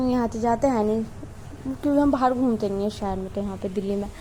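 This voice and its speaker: Noticeable background noise is present. Over it, a woman speaks with fairly even intonation. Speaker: vlogger. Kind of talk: vlog voiceover narration. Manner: casual, halting with self-corrections.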